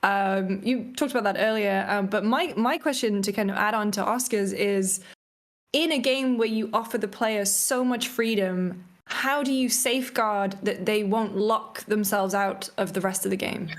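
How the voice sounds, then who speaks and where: With a British accent, a woman talks at a moderate pace in a fairly high pitch, showing ordinary pitch variation and very even loudness. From Britain. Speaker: livestream host. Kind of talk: livestream interview.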